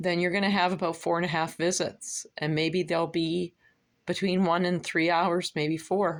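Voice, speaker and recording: Flat and monotone, a woman talks at a fairly low pitch and a moderate pace. The recording is very clean, with a silent background. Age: 60s. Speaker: vlogger. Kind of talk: casual monologue vlog.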